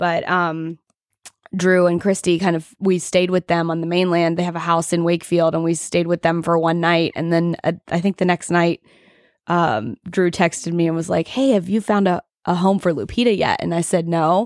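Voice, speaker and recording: An ordinary speaking voice from a woman, fairly low in pitch, at a moderate pace with fairly even intonation. The sound is dry and close, with no echo. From US South, Augusta, Georgia. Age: 30s. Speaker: dog shop owner. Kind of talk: casual interview.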